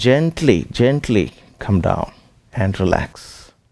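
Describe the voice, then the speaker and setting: Over a quiet background, a man with a non-native accent talks with lively intonation. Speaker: yoga teacher. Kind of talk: fitness class instruction. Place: gym.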